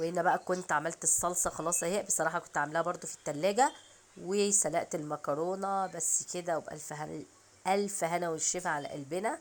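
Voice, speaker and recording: A woman with an Egyptian accent, in a very clean recording with a silent background. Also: fairly low pitch for a woman, ordinary pitch variation, moderate pace. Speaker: home cooking vlogger. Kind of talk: cooking tutorial. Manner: casual, chatty.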